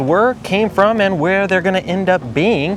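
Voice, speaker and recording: The speaker has an upbeat tone at a fairly quick pace. Noticeable background noise is present. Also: man. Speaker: entertainment channel host. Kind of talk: casual talk to camera.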